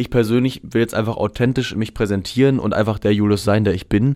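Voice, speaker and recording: On a very clean recording with a silent background, a normal speaking voice talks with fairly even intonation. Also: man. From Germany, Hameln (Lower Saxony). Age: 20s. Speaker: pop musician. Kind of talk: radio interview. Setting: radio studio.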